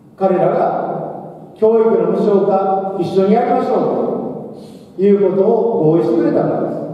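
A man's high-pitched voice at a fairly slow pace, with fairly even intonation and strong room echo. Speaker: election candidate. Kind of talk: campaign speech.

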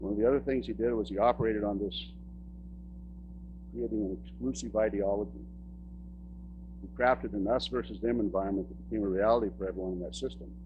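A man with a very deep, low pitch talks at a very fast pace, somewhat breathy and with very wide pitch swings, pausing long and often over noticeable background noise. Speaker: public speaker, son of a church pastor. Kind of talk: public talk / lecture about personal experience. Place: stage.

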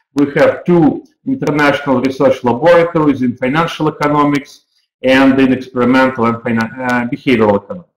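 At a fairly quick pace, a man speaks with fairly even intonation. Room echo is audible, but the background is quiet. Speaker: university program director. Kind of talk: webinar presentation. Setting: online webinar. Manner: halting, with frequent fillers. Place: office. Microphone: webcam.

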